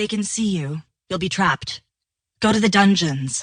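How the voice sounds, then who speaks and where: A put-on character voice at a moderate pace, lively in intonation, with a dry, close sound and no echo. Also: woman, medium pitch for a woman. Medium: read story. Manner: cool and calm, like a weather announcer.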